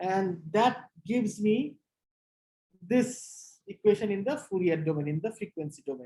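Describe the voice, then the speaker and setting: Somewhat breathy, a woman at medium pitch speaks fairly slowly in a dark, mellow tone with lively intonation. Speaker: physics lecturer. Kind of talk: lecture.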